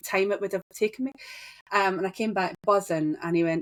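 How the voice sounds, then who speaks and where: In a very clean, dry and close recording with no echo and a silent background, a woman speaks at a fairly quick pace with a medium pitch and ordinary pitch variation. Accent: Scottish. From Scotland. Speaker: business owner. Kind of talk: interview.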